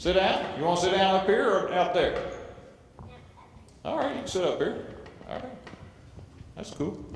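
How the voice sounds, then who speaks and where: Over noticeable background noise and audible room echo, a man talks at a moderate pace with long, frequent pauses. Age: 50s. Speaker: family court judge. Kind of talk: speech to youth audience. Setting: stage with audience.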